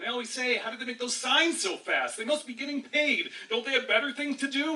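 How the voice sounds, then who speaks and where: Through noticeable background noise, a man speaks in an angry tone with a raised, projected voice. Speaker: slam poet. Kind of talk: slam poetry performance. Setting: live audience. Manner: impassioned, angry.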